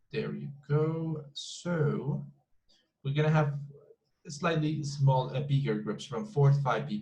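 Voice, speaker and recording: Speaking at a very slow pace with long, frequent pauses, a man with a Colombian accent has a fairly high, somewhat breathy voice with ordinary pitch variation. Audible room echo surrounds him. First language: Spanish. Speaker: English teacher. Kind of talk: online class lecture. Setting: video call class with breakout rooms. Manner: repetitive, halting with many fillers.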